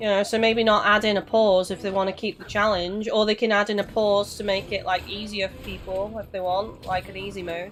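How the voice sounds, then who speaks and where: Over noticeable background noise, a woman talks fairly quickly with hardly any pauses, in a monotone, flat intonation with big swings in loudness. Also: medium pitch for a woman. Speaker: gaming streamer. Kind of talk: live stream chat while gaming. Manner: casual, swears.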